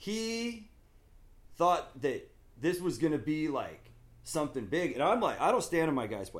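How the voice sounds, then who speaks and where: Speaking with a West Coast American accent, a man uses a high pitch with very wide swings at a moderate pace. Long pauses come often. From Southern California and Oregon. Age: 50s. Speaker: skateboard company owner and skater. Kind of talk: casual chat.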